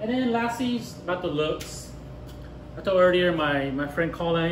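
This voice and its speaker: The speaker keeps a moderate pace. Light background noise and audible room echo come through. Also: man. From Japan. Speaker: bartender; bartender instructor. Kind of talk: tutorial. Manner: casual, with many fillers and repetitions. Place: bar. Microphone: camera far.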